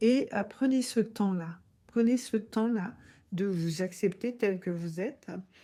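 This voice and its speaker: A woman speaks very slowly at a medium pitch with ordinary pitch variation and a dark, mellow tone, on a very clean recording with a silent background. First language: Haitian Creole (speaking French). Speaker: podcast host. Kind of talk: podcast monologue. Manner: hesitant, many fillers.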